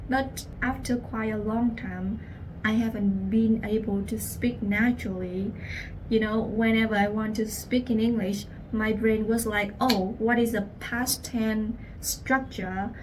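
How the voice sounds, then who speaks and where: A woman with a Vietnamese accent speaks at a fairly slow pace in a fairly high pitch, her intonation monotone and flat, with audible room echo around her. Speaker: language teacher. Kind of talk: personal story.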